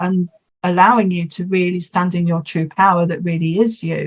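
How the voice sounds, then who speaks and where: A somewhat breathy woman's voice sits at a medium pitch. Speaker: hypnotherapist. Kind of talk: interview.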